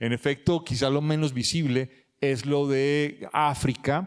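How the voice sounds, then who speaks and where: With fairly even intonation, a man keeps his pitch fairly high. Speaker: author and historian. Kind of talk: book launch talk. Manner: fast.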